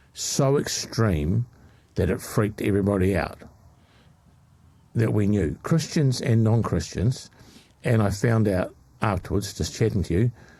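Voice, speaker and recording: A man talks at a fairly slow pace with a fairly low pitch and a dark, mellow tone, somewhat breathy and at a very even loudness. His intonation is lively, broken by long, frequent pauses. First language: not English. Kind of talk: casual chat.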